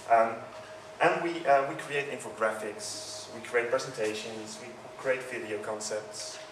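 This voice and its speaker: A man with a Dutch accent speaks at a fairly slow pace with ordinary pitch variation over noticeable background noise. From Netherlands. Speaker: user experience consultant. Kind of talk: conference talk. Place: hall. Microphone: handheld.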